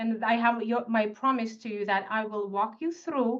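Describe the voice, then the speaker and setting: A woman with a Russian accent speaks in a fairly high voice with ordinary pitch movement against a quiet background. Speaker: tax expert. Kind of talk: webinar presentation. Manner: animated.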